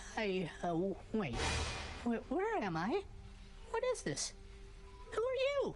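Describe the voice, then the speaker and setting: Using a put-on character voice, someone speaks at a fairly slow pace with long, frequent pauses over clear background noise. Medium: video game. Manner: flustered, excitable.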